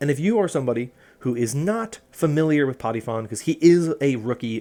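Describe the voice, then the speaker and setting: A man's lively intonation carries at a moderate pace while music plays in the background. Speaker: esports commentator. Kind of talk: casual analysis talk to camera.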